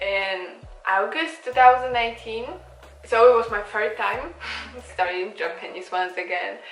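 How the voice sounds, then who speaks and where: Speaking fairly slowly, a woman talks in a Polish accent. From Poland. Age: 20s. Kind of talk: casual talk to camera. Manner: lengthens the ends of sentences.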